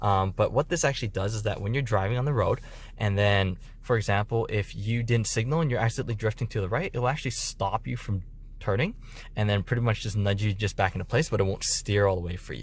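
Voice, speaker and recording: Speaking at a very fast pace, a man with a medium-pitched, somewhat breathy voice shows ordinary pitch variation. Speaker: car dealership delivery specialist. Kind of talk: tutorial. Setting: inside a car. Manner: casual, conversational.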